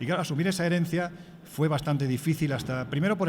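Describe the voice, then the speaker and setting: The pace here is very fast. A man is talking, his pitch variation ordinary. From Andalusia, Spain. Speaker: magazine editor and radio commentator. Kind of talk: interview.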